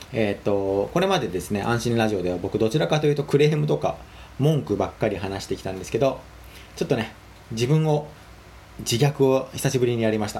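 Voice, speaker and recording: A man talks at a fairly quick pace with lively intonation and a medium pitch. His tone is dark and mellow, and somewhat breathy. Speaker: solo podcaster and web article writer. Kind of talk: casual solo monologue. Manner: halting, many fillers.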